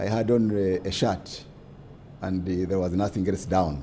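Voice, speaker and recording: This man's voice has a dark, mellow tone and is somewhat breathy. He talks at a moderate pace. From Uganda, Kisoro District. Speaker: government advisor. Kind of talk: interview.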